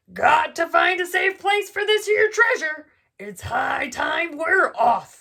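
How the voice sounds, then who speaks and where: A woman puts on a loud, gruff character voice at an extremely high pitch. She delivers it at a fairly slow pace. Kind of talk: bedtime story. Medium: read story. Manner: gruff, loud, pirate talk.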